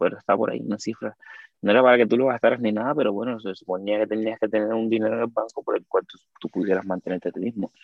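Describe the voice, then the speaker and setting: A man with a medium pitch speaks at a very fast pace. His loudness swings widely. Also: fairly even intonation. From Cuba. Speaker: dancer and content creator. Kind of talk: casual chat.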